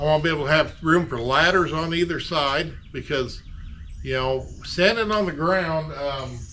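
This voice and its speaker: A man with a fairly high voice talks at a moderate pace with ordinary pitch movement, and the room echo is audible. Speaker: DIY auto body repair YouTuber. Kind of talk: casual workshop tutorial. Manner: loud, projecting to reach camera mic.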